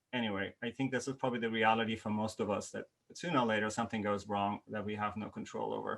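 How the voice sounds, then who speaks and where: A man speaks very fast with a non-native accent. His pitch is fairly low and his intonation fairly even. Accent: non-native accent, noticeable. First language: not English. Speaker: university lecturer, workshop host. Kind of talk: online workshop presentation. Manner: hesitant, many fillers.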